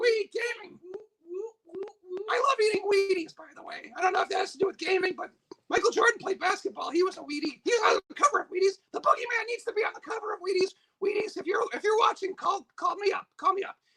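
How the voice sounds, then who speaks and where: In a put-on character voice, the speaker squeaks at an extremely high pitch and a very fast pace. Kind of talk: playful livestream storytelling. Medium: game stream. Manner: rambling, jokey, easily distracted.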